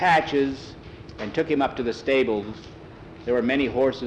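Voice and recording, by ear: Natural-voiced reading aloud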